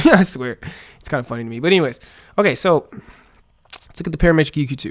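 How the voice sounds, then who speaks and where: With vocal fry and lively intonation, a man speaks at a very fast pace. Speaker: music producer teaching beat making. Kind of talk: tutorial. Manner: casual, halting with many fillers.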